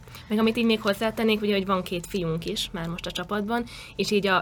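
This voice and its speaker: This woman talks very fast at a medium pitch with fairly even intonation. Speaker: cheerleader and university student. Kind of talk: interview.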